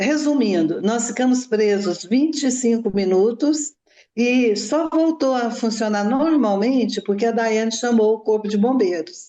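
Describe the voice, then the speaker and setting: A woman with an unremarkable speaking voice talks at a fairly slow pace, at a fairly high pitch with ordinary pitch variation. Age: 60s. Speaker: mother of a crime victim. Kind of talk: interview testimony.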